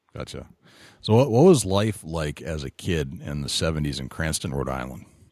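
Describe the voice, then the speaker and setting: With vocal fry and a very deep, low pitch, a man speaks with lively intonation and big swings in loudness. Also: moderate pace, very clean recording, silent background. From New England. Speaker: podcast host. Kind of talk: casual interview.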